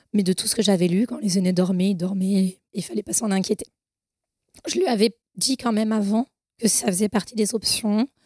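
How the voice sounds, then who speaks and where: At a moderate pace broken by long, frequent pauses, a woman with a medium pitch, ordinary pitch variation and a dark, mellow, somewhat breathy tone is heard in a dry, close sound with no echo. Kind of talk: testimony.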